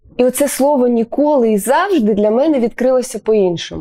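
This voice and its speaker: The voice is a woman's, high in pitch. Lively intonation marks her speech. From Ukraine, Sloviansk. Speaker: radio host. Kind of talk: radio interview.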